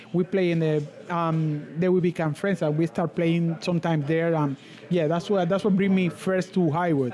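With a Spanish accent, a man talks at a high pitch and moderate pace, his intonation fairly even and his loudness very even, over noticeable background noise. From Cuba, Camagüey. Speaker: musician. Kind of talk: casual interview. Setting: live event in cigar lounge.

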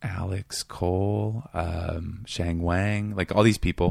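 The intonation is monotone and flat. The speaker has an American accent. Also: man, very clean recording, silent background. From Seattle, US Pacific Northwest. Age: 30s. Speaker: comedian and writer. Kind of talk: casual chat. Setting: studio.

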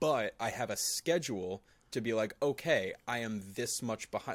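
An unremarkable speaking voice from a man at medium pitch, with ordinary pitch variation, comes through on a very clean recording with a silent background. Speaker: podcast co-host. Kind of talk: casual chat about mental health. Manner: laid-back, chill.

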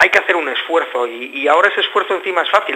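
A man with a fairly high pitch rushes along at a very fast pace with ordinary pitch variation amid noticeable background noise. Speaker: band member musician. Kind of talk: radio interview.

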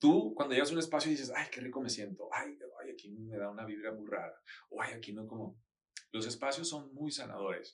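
A man talks fairly quickly in a plain, everyday voice. His pitch is medium with ordinary variation. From Mexico, Sinaloa (Mazatlán, Culiacán). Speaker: interior designer and architect. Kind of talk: casual interview.

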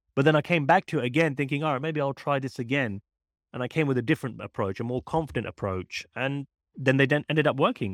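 A man with a British accent speaks very fast at medium pitch, his pitch varying in an ordinary way. The sound is dry and close with no echo, on a very clean recording with a silent background. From UK. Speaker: magician and mentalist. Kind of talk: casual interview chat.

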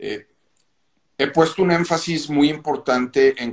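This man has an unremarkable speaking voice at a fairly high pitch. He talks at a fairly slow pace. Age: 50s. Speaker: pastor and clothing business owner. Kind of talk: casual interview.

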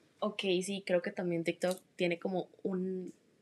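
A woman of medium pitch speaks in a plain, everyday voice at a fairly slow pace. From Costa Rica, Heredia. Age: young. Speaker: interviewee. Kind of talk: interview.

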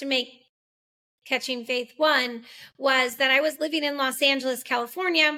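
Her voice raised and projected, a woman with an American accent speaks at a moderate pace in a high pitch with a bright, sharp tone, on a very clean recording with a silent background. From Massachusetts. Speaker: filmmaker. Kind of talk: interview.

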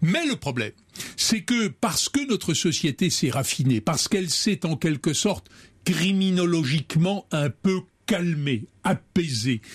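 On a very clean recording with a silent background, a man with a high pitch speaks fairly slowly with very wide pitch swings. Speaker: lawyer. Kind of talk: thoughtful interview discussion. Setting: radio studio. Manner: measured, formal, reflective.

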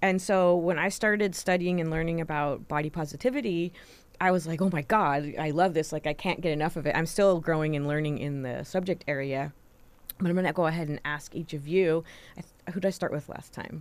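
An ordinary speaking voice, this woman's fairly low-pitched speech moves at a fairly quick pace with fairly even intonation on a very clean recording with a silent background. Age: 50s. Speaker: university health educator and podcast host. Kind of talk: casual chat.

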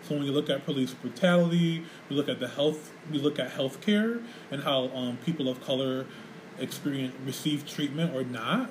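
A man with an American accent speaks at a moderate pace, his fairly high pitch moving in an ordinary way over noticeable background noise. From Rochester, New York. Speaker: podcast host and community center director. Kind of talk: casual chat. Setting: community center studio.

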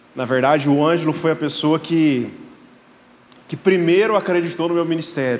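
A man with a fairly high pitch speaks at a moderate pace with ordinary pitch variation. Audible room echo is present. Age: 30s. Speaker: guest pastor. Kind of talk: sermon.

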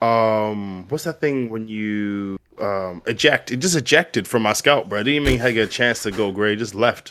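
A man with an American accent and a plain, everyday voice, medium in pitch, with ordinary pitch variation and a moderate pace. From US, Baltimore, Maryland. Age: 30s. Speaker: comedian. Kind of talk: casual chat.

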